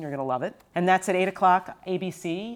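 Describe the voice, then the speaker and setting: Against a silent background in a very clean recording, a woman talks at a fairly quick pace with ordinary pitch variation. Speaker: TV executive producer and podcast host. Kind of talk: casual chat.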